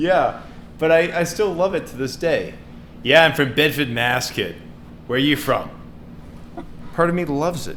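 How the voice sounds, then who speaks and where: A man with a fairly high pitch and ordinary pitch variation speaks at a moderate pace with long, frequent pauses, and audible room echo surrounds him. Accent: American. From US, Boston area with childhood in England and Kentucky parents. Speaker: AI researcher and podcast co-host. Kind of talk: casual chat.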